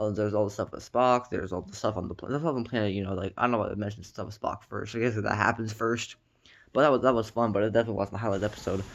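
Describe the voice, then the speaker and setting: A man's fairly low voice at a very fast pace, fairly even in intonation, over a quiet background. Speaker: TV reviewer. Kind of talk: casual review monologue. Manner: halting, many fillers and repetitions.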